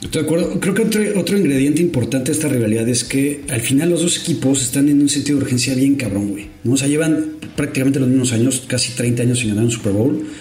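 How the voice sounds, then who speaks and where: Over noticeable background noise and audible room echo, a man talks at a very fast pace. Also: fairly high pitch for a man, ordinary pitch variation, hardly any pauses. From Mexico. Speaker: NFL podcast co-host. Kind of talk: casual chat.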